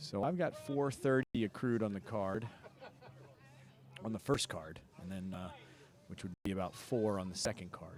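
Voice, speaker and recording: A man with a fairly low pitch talks at a moderate pace with lively intonation, leaving long, frequent pauses. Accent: New Jersey. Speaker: rugby commentator. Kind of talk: live commentary.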